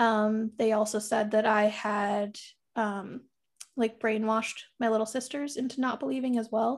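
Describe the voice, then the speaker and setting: With an American accent and an ordinary speaking voice, a woman talks at a fairly slow pace and fairly high pitch, her intonation fairly even, on a very clean recording with a silent background. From US South, Tampa, Florida. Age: 30s. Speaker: podcaster. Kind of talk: casual chat.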